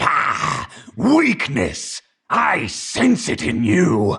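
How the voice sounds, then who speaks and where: A man puts on a guttural, raspy character voice and speaks at a very slow pace. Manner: evil.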